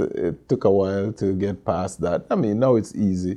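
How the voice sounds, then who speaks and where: A man speaks at a moderate pace. His voice has a dark, mellow tone. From Jamaica (Mandeville, Manchester). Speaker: shop manager and dub poet. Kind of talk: interview. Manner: halting.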